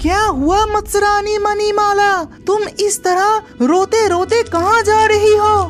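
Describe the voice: An extremely high-pitched cartoonish character voice over clear background music. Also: fairly slow pace.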